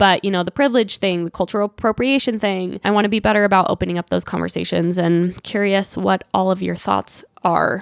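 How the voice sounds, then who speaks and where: Speaking with a Utah accent, a woman talks with hardly any pauses. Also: medium pitch for a woman, fairly quick pace, dry, close sound with no echo. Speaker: podcast host. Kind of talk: casual monologue, solo podcast. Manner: casual, filler-heavy (like, um).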